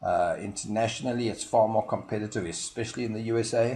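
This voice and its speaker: Speaking with a South African accent, a man uses a fairly low pitch, a dark, mellow tone and a somewhat breathy delivery. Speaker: marketing consultant. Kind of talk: promotional explainer video. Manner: hesitant, frequent fillers.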